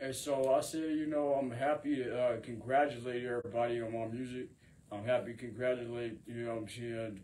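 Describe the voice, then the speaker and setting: Noticeable background noise sits behind a man speaking at a medium pitch. He goes at a fairly quick pace with fairly even intonation. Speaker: rapper and singer. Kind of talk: freestyle monologue to camera. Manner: rambling, filler-heavy delivery.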